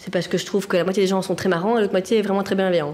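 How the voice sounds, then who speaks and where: A woman's animated tone at a medium pitch. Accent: strong Brussels. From Belgium, Brussels (Anderlecht). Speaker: social welfare office employee. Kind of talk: casual chat.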